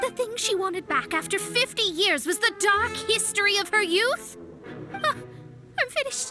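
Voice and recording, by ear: A woman uses a put-on character voice with an extremely high pitch, a bright, sharp tone and lively intonation at a fairly slow pace, while faint music plays in the background.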